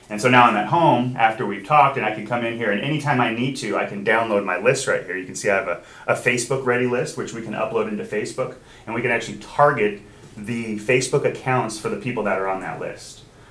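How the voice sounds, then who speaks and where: Amid audible room echo, a man talks very fast at a medium pitch with ordinary pitch variation. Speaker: software trainer for title company. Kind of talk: training class with screen demo.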